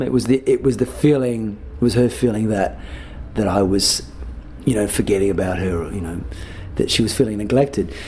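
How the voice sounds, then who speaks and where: Lively intonation at a fairly quick pace over noticeable background noise. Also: man. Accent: Australian. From Australia, Adelaide. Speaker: musician. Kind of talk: interview. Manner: halting, many fillers and repeats.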